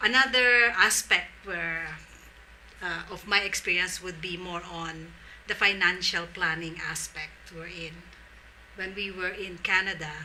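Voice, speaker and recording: Over noticeable background noise, the voice goes at a fairly slow pace with ordinary pitch variation and big swings in loudness. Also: woman, medium pitch for a woman. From Philippines, Tagalog region. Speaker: social entrepreneur. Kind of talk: interview.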